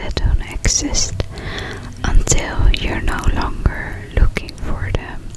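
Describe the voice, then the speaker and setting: Someone whispers at a very slow pace. Background noise is noticeable throughout. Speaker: ASMR artist. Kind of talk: sleep story. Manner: whispered.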